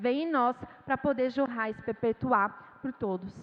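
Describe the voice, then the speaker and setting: A woman is speaking here. Her voice is high, with ordinary variation in pitch. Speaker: missionary preacher. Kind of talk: sermon. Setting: church.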